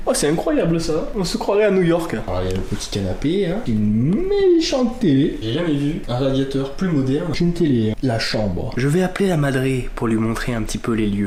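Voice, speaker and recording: The speech runs at a fairly quick pace with very wide pitch swings. Audible room echo and noticeable background noise fill the recording. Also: man. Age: young. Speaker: vlogger. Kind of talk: vlog. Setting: at home at night. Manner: animated; soft-spoken.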